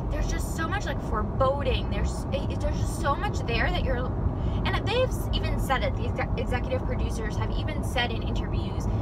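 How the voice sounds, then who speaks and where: Loud background noise surrounds a dry sound with no echo, and the speech moves at a moderate pace. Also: woman. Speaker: vlogger. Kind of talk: casual vlog chat. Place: car. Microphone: phone near.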